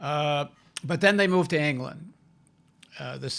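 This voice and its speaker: In a Canadian accent, a man with an unremarkable speaking voice talks at a moderate pace with ordinary pitch variation, on a very clean recording with a silent background. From Canada, Toronto. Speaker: journalist and filmmaker. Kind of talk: interview conversation.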